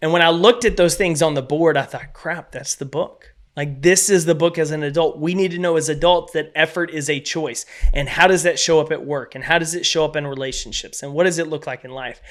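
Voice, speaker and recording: A man's fairly high voice with a Texas accent, fairly quick and with hardly any pauses, fairly even in intonation but with big swings in loudness. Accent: Texas twang. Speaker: keynote speaker and author. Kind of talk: podcast interview.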